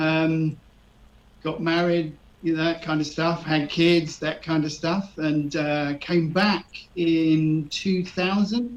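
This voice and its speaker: With a southeast English accent, a man speaks at a fairly high pitch and keeps his intonation fairly even. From southeast England (Erith, Kent). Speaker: retired expat. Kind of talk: radio interview. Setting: live radio show. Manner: hesitant, many fillers.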